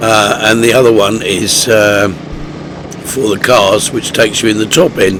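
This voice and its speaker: A man talks at a fairly slow pace and fairly low pitch, keeping his intonation fairly even. Noticeable background noise runs beneath him. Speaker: motorcycle vlogger. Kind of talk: voice-over commentary. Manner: hesitant, many fillers.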